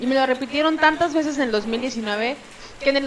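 Noticeable background noise sits behind speech delivered at a moderate pace with fairly even intonation. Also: woman. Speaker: comedian. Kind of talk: casual chat. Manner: speaks with authority.

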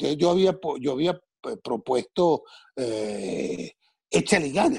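Dark and mellow in tone, the voice makes very wide pitch swings, with a dry, close sound and no echo. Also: man. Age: 60s. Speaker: TV and radio entertainer. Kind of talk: casual interview.

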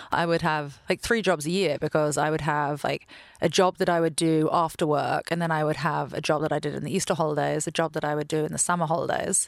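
A woman with an American accent speaks at a very fast pace with hardly any pauses, her very deep, low voice flat and monotone with vocal fry, over a quiet background. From London, England. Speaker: venture capital investor. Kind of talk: interview conversation.

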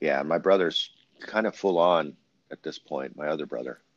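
A man's very deep, low voice with vocal fry and an American accent, at a moderate pace. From Central Valley of California. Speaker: talk show host. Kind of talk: casual interview.

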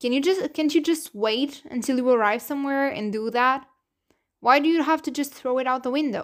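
Speaking with a Portuguese accent and ordinary pitch variation, the voice comes through a very clean recording with a silent background. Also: woman. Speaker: podcast host. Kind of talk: solo podcast monologue. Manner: casual, hesitant with many fillers.

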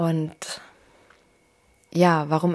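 This woman's voice sits at a fairly low pitch. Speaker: podcast host, mother and spiritual coach. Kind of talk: personal monologue, unscripted. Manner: free-flowing, conversational.

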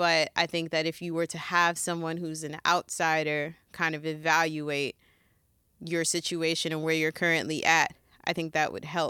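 A woman speaks at a fairly low pitch and a fairly slow pace. Her tone is bright and sharp, on a very clean recording with a silent background. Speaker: music podcast co-host. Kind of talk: casual chat.

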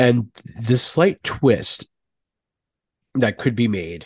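Recorded dry and close with no echo and a quiet background, a man speaks at a very slow pace with a medium pitch. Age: 30s. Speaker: podcast co-host. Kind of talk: casual chat. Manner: animated.

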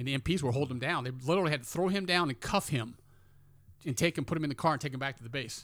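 Talking at a very fast pace, a man with a fairly high pitch and ordinary pitch variation comes through on a very clean recording with a silent background. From US, military family moving often. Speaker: army veteran. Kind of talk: casual chat.

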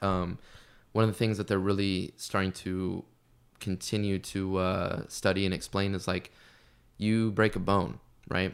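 On a very clean recording with a silent background, a man talks in a very deep, low voice with monotone, flat intonation. His pace is fairly slow, broken by long, frequent pauses. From US Midwest. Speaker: fitness coach. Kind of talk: casual chat.

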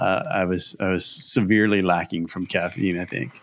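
A man with a normal speaking voice keeps a fairly low pitch, fairly even intonation and a moderate pace. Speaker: podcast host. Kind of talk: casual chat.

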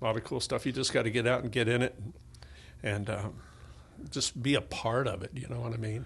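Over a quiet background, a man talks at a fairly quick pace with long, frequent pauses, a somewhat breathy medium-pitched voice, and fairly even intonation. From Tennessee. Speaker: musician and music academy owner. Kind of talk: casual interview. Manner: halting.

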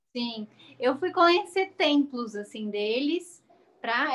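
High-pitched and lively in intonation, a woman speaks at a very slow pace. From Brazil. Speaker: model and event presenter. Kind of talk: interview.

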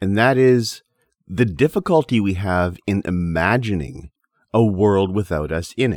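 An unremarkable speaking voice at a fairly slow pace, dry and close with no echo, with lively intonation. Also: man. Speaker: podcast host. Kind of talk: poem reading; solo lecture-style podcast. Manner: measured, rhythmic, reading verse aloud.

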